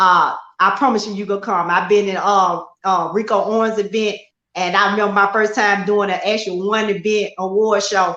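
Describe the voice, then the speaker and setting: Loud and monotone, a woman speaks at a medium pitch and moderate pace with flat intonation. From Memphis, Tennessee (US South). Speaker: model and talk show host. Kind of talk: interview.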